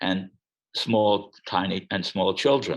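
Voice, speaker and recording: This man's voice sits very deep and low. His delivery is fairly slow. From Czechoslovakia. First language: Czech. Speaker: Holocaust refugee interviewee. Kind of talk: oral history interview. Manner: halting, many repetitions.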